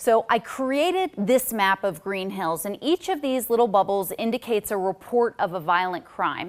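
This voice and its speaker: A woman with an unremarkable speaking voice talks at a medium pitch and moderate pace, her intonation lively and hardly any pauses between words. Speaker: TV news anchor and reporter. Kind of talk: TV news report.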